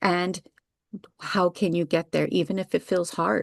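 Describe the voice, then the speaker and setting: A woman with a fairly low pitch and vocal fry is recorded with a dry, close sound, no echo and a quiet background. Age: 60s. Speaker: wellness practitioner and founder. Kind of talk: interview. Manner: animated.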